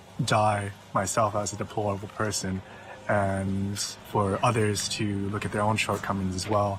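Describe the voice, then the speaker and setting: A man with an American accent, fairly low-pitched and monotone in flat intonation, against noticeable background noise. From US. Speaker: musician. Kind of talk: documentary interview.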